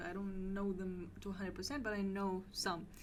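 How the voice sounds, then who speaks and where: A woman is speaking. Room echo can be heard. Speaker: podcast host. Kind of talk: casual interview.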